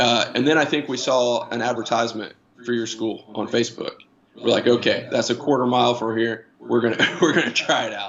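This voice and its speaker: A man with an American accent talks at medium pitch and a fairly quick pace. His intonation stays fairly even. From Indiana, US Midwest. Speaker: new jiu-jitsu student, industrial manager. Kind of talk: casual interview chat. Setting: live-streamed online call. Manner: halting, many fillers and repeats.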